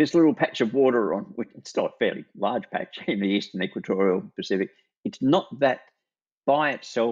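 With an Australian accent, a man talks at a moderate pace with very wide pitch swings. The sound is dry and close with no echo, over a quiet background. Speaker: retired climate scientist, emeritus professor. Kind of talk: interview.

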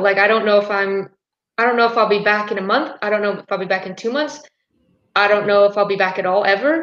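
A woman with an American accent has a normal speaking voice at medium pitch, talking at a fairly quick pace with fairly even intonation. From United States. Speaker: university soccer player. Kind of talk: live stream discussion.

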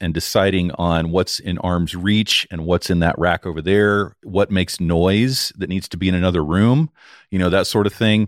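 Booming at a very deep, low pitch, a man speaks at a moderate pace with fairly even intonation in a very clean recording with a silent background, the sound dry and close with no echo. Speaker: audio engineer and podcast producer. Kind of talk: casual interview. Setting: live audio-room recording.

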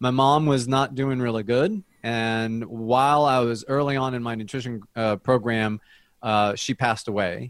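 With an American accent, this man has a normal speaking voice, medium pitch, fairly even intonation and a moderate pace. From US, New Jersey. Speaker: dietitian. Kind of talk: interview.

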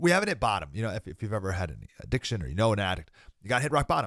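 A man's fairly low voice with vocal fry and very wide pitch swings. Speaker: political commentary podcast host. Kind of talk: casual monologue with religious commentary.

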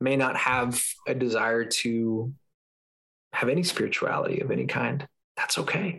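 A man speaks at a fairly slow pace, his pitch fairly high for a man, with ordinary pitch variation. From Southern California. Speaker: podcast host and former evangelical. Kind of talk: casual interview chat. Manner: filler-heavy, hesitant.

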